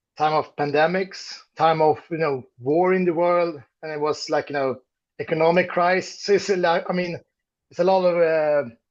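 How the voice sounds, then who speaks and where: Intonation stays fairly even in this voice with a Swedish accent. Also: man, high pitch for a man, moderate pace. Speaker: metal band musician. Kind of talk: interview. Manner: halting, many fillers.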